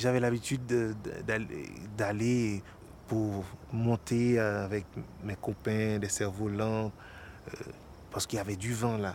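Speaking at a very slow pace with long, frequent pauses, a man uses a fairly low pitch and a monotone, flat intonation. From Haiti, Port-au-Prince. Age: 30s. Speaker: actor and stage director. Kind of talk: documentary interview.

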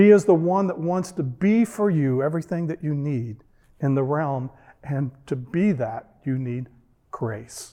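A man speaks at a fairly slow pace with lively intonation and a dark, mellow tone. The background is quiet. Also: fairly high pitch for a man. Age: 60s. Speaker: pastor. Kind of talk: sermon. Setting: church.

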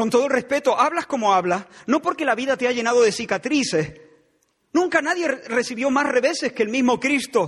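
With a dramatic tone and lively intonation, a man talks at a fairly quick pace in an extremely high pitch. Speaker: pastor. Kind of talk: sermon, fiery expository preaching with direct accusatory address. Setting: church. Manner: dramatic, sometimes conversational and wry.

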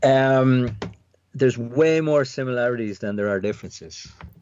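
Here a man speaks with an Irish accent. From Ireland, near Dublin. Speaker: tech company CEO. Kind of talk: interview. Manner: hesitant, many fillers and repetitions.

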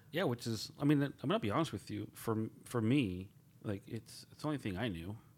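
With a plain, everyday voice, a man speaks at a medium pitch and a fairly quick pace, his intonation lively. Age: 40s. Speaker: director of veteran services, podcast co-host. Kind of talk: casual chat.

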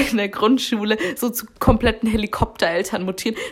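Using an unremarkable speaking voice, a woman talks at a fairly high pitch and moderate pace with fairly even intonation. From Baden-Württemberg, Germany. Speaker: podcast co-host. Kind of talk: casual chat.

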